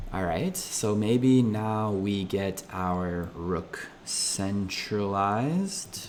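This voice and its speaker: Speech comes at a very slow pace with ordinary pitch variation and audible echo from the room. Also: man. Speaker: chess streamer. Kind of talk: live game commentary.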